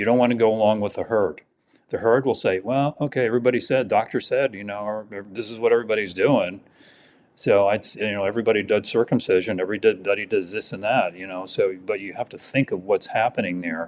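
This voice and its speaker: A man with an American accent talks at a very fast pace and a fairly low pitch, keeping his intonation fairly even amid big swings in loudness. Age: 70s. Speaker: dentist. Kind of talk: podcast interview. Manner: halting, many fillers and repeats.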